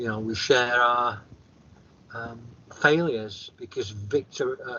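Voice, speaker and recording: A man with a northern English accent. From northern England. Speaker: author and near-death experiencer. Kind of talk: interview testimony. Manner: consciously slowed speech; halting, repeats words.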